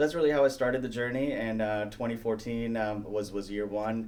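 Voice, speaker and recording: A man's fairly quick, fairly evenly intoned speech with audible room echo. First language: not English. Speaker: real estate team leader. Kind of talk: interview. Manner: many fillers and hesitations.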